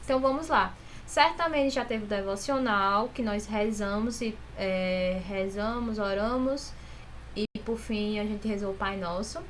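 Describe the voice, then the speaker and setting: Audible room echo surrounds a woman's fairly high voice. She speaks at a fairly slow pace. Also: ordinary pitch variation. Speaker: school teacher. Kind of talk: recorded online class instructions.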